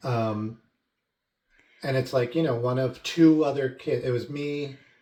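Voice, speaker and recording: Speaking with an American accent, a man at medium pitch moves at a fairly slow pace with fairly even intonation. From Long Island, New York. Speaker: vlogger. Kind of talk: casual chat.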